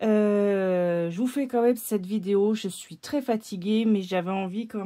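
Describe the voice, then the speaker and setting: This woman's voice sits at a medium pitch with a dark, mellow tone. The recording is very clean and the background silent. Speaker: tarot and oracle card reader, video creator. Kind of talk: casual vlog chat. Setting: at home, camera on tripod. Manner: hesitant, many fillers.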